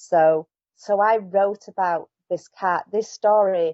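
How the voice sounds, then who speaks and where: A woman speaks with a Yorkshire accent. Her pitch is medium. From northern England, Yorkshire. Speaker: author. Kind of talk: interview.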